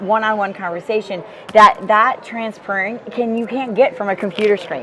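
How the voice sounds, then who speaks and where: Amid noticeable background noise, a woman speaks in an energetic tone at a moderate pace, with a medium pitch and ordinary pitch variation. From rural Alaska. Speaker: business field leader. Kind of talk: interview. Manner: loud, energetic.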